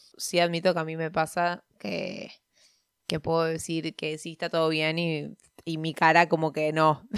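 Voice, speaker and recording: A woman's very deep, low voice in a Rioplatense accent, monotone and flat, at a fairly slow pace, in a very clean recording with a silent background. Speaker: podcaster. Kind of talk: reading aloud. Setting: recording at home by day, sun on face.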